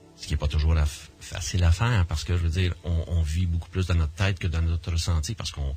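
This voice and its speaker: A very fast man's voice with a Quebec accent, very deep and low in pitch, with fairly even intonation. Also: hardly any pauses. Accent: Québécois French. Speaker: near-death experiencer and association director. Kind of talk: radio interview. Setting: radio studio. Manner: halting, many repetitions and fillers.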